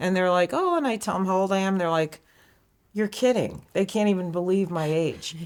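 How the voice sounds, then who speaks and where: This woman has an ordinary speaking voice at a medium pitch, with ordinary pitch variation. She talks at a fairly quick pace, her loudness very even. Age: 60s. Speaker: amateur pickleball player. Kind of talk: interview.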